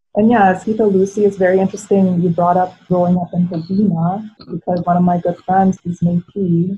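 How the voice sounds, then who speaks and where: A somewhat breathy woman's voice, medium in pitch with a dark, mellow tone, fairly quick and monotone with flat intonation. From Philippines, raised in Edmonton. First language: Tagalog. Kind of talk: panel discussion.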